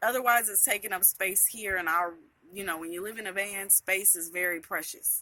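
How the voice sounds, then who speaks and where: A woman's medium-pitched voice, bright and sharp in tone, with fairly even intonation, a fairly quick pace and big swings in loudness. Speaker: van dweller vlogger. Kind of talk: casual vlog monologue.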